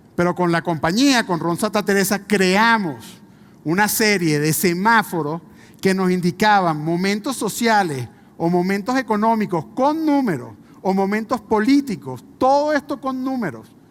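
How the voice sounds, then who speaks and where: A man with a Venezuelan accent speaks at a fairly slow pace. His pitch is high and swings very widely. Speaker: business executive. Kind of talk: conference talk.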